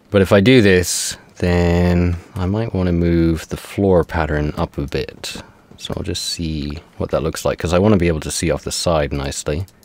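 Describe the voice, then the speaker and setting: A man with a very deep, low voice talks at a moderate pace in a relaxed tone. His intonation is fairly even, and there is noticeable background noise. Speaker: Minecraft gameplay YouTuber. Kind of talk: casual gameplay commentary. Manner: relaxed, low-energy; hesitant, filler-heavy.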